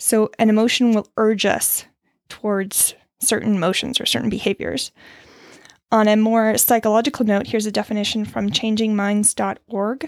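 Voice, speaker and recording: This is a plain, everyday voice from a woman with a fairly high pitch. The recording is very clean, with a silent background. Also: fairly even intonation, moderate pace. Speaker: podcast host sharing mental health coping skills. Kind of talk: solo monologue, personal reflection with some reading aloud. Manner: casual, candid, self-deprecating, with laughs.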